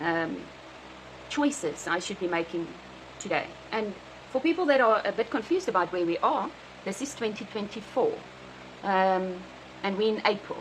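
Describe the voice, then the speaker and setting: At a moderate pace, a woman with a South African accent speaks in a medium pitch with lively intonation and long, frequent pauses. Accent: Afrikaans South African English. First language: Afrikaans. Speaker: vlogger. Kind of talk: personal video diary. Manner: halting, many fillers.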